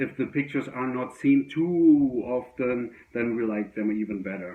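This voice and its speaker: A man with a German accent. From Germany. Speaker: record collector. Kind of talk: casual video monologue. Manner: halting, many fillers.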